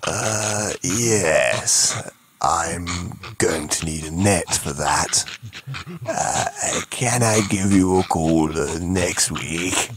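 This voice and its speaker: A man's cartoonish character voice, very deep and low, at a very slow pace. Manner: matter-of-fact, measured.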